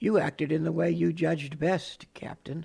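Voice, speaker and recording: This is a put-on character voice, raspy and at middle pitch. It moves at a moderate pace. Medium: audio drama. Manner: calm, formal, precise.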